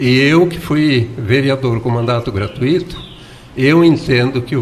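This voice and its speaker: Over noticeable background noise, a man talks at a fairly slow pace in a medium pitch with ordinary pitch variation. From southern Brazil, Santa Catarina. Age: 70s. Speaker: former mayor and writer. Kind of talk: radio interview.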